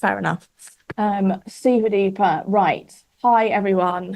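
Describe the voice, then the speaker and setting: A woman with a British accent talks at a fairly slow pace in a medium-pitched voice. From Britain. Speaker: webinar host. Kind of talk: live webinar chat. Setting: studio. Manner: animated.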